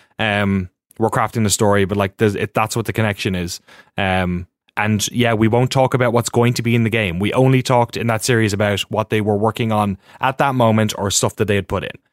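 With an Irish accent, a man talks at a fairly quick pace in a fairly low pitch with fairly even intonation, and the very clean recording has a silent background and a dry, close sound with no echo. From Ireland. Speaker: documentary filmmaker. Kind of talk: casual chat.

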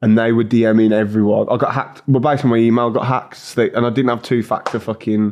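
In an English accent, a man speaks at a very fast pace with monotone, flat intonation, hardly any pauses and very even loudness. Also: medium pitch for a man. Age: 20s. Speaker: YouTuber. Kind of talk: casual chat.

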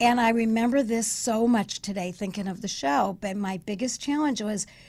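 A woman with an American accent at a fairly high pitch, somewhat breathy, at a moderate pace with ordinary pitch variation, on a very clean recording with a silent background. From Chicago, US. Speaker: speech coach and author. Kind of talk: radio interview, storytelling. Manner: animated, energetic.

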